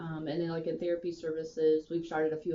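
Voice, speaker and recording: Over noticeable background noise, a woman talks at a very fast pace in a very deep, low pitch. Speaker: physical therapy manager. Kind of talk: interview.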